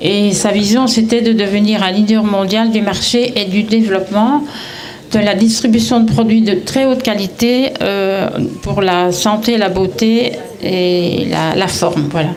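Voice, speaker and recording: A woman speaks at a fairly slow pace and a medium pitch, with ordinary pitch variation and very even loudness. Music plays in the background, and room echo is audible. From Belgium, Brussels. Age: 70s. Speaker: retiree, network marketing seller. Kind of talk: testimony at community event. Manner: halting, many hesitations.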